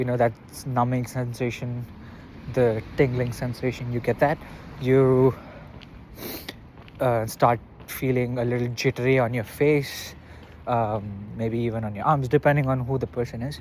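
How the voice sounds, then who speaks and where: Speaking in a flat monotone with a non-native accent, a man leaves long, frequent pauses. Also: medium pitch for a man, moderate pace. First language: not English. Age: 20s. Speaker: vlogger. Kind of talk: casual monologue vlog. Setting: outdoors, walking. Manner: halting, with fillers.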